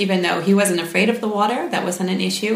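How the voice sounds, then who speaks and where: Over noticeable background noise, a woman speaks with an American accent and fairly even intonation. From United States. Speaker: parent. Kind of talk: interview.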